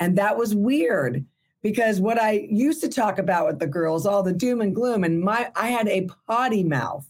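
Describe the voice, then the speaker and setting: In an unremarkable speaking voice, a woman talks at a moderate pace with medium pitch, lively intonation and very even loudness. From Burbank, California. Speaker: entertainment industry worker and former actress. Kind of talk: casual interview.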